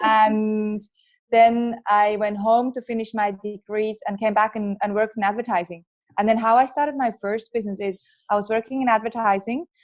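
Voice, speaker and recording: Fairly even intonation carries this woman's fairly high-pitched voice. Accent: strong Swiss. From Switzerland. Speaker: entrepreneur and author. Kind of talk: podcast interview.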